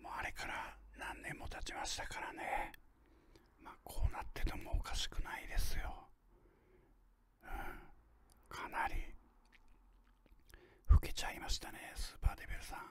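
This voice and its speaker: A man whispers with big swings in loudness and long, frequent pauses. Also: moderate pace. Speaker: ASMR unboxing host. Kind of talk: ASMR whispered unboxing. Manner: whispered. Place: home room. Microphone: studio mic.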